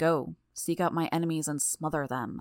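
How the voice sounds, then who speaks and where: Someone performs a put-on character voice at a middle pitch, captured in a very clean recording with a silent background. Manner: monotone.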